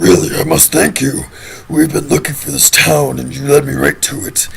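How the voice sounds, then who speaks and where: A raspy, put-on character voice from a man, fairly low in pitch with very wide pitch swings, at a moderate pace over clear background noise. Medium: machinima. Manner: arrogant, mocking.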